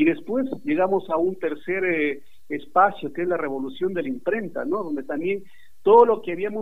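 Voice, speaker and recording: He speaks in a high voice at a fairly quick clip. His pitch swings very widely. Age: 40s. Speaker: journalism professor. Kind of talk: interview. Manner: halting.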